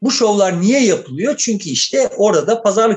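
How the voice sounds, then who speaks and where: A man talks in a high pitch with lively intonation at a moderate pace. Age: 60s. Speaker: political commentator. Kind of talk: casual chat.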